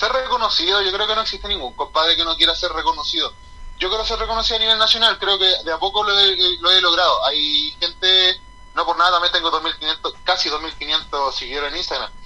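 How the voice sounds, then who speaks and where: A man with a Chilean accent uses a raised, projected voice at a high pitch and a fairly quick pace. His pitch varies in an ordinary way over noticeable background noise. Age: 30s. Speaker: professional wrestler. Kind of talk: casual interview.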